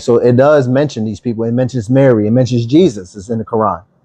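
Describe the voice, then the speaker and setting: In a Philadelphia accent, a man with a dark, mellow tone and medium pitch talks at a fairly quick pace with ordinary pitch variation over a quiet background. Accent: Philadelphia American English. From US, Philadelphia. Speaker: online Bible teacher. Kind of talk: livestream Bible teaching. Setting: TikTok livestream.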